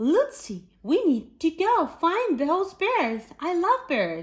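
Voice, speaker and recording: A woman puts on a character voice at an extremely high pitch. She talks at a very slow pace with very wide pitch swings. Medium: read story.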